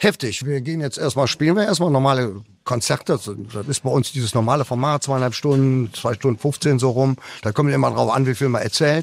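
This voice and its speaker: An ordinary speaking voice from a man at medium pitch, with ordinary pitch variation and a fairly quick pace, on a very clean recording with a silent background. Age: 60s. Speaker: rock singer. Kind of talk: radio interview. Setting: backstage after concert. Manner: casual, with fillers.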